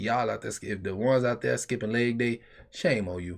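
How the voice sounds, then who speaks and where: A man talks at a fairly quick pace in an unremarkable speaking voice, his medium pitch rising and falling in an ordinary way. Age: 20s. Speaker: podcast co-host. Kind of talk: casual chat.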